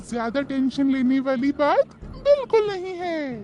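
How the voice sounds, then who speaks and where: A woman's cartoonish character voice with very wide pitch swings, at a fairly slow pace, over clear background noise. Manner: calm, reassuring.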